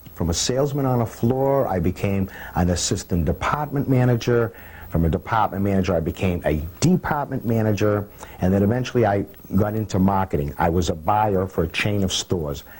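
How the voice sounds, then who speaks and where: A man with a Boston accent speaks at a fairly low pitch. His pace is fairly quick and his intonation lively. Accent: Boston-area New England. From Cambridge, Massachusetts. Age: 60s. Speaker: hotel doorman. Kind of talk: documentary interview monologue. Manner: conversational with frequent hesitations.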